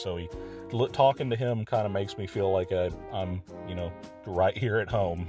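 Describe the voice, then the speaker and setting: The speaker has a Southern US accent and ordinary pitch variation. Music plays in the background. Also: man. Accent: noticeable Southern US. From Texas. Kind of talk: casual video game tour narration. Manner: hesitant, many filler words.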